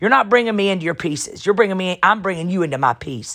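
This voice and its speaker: The voice has an animated tone and a lively, bouncing intonation. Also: woman. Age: 40s. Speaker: pastor and podcast host. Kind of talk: motivational preaching monologue. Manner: loud.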